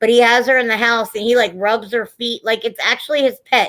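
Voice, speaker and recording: A woman speaks loudly at a fairly quick pace with a fairly high pitch and a bright, sharp tone. The recording is very clean with a silent background. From Italian-American family. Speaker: live-stream host. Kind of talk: casual chat.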